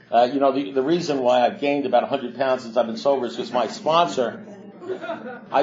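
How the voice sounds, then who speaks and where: Amid noticeable background noise, a man with a fairly high pitch and lively intonation talks at a very fast pace. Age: 60s. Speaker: AA speaker in recovery. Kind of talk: recovery talk to a meeting. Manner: halting.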